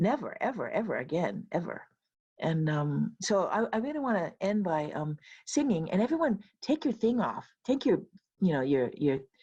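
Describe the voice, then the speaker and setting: A woman at medium pitch with very wide pitch swings, vocal fry and a dark, mellow tone, at a moderate pace. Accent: Hawaiian. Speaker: professor and keynote speaker. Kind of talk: closing remarks at virtual retreat. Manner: casual, many fillers.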